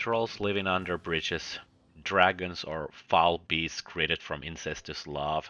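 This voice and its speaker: A man with a Finnish accent, very deep and low in pitch, fairly even in intonation and fairly slow. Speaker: book reviewer. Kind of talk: video review monologue.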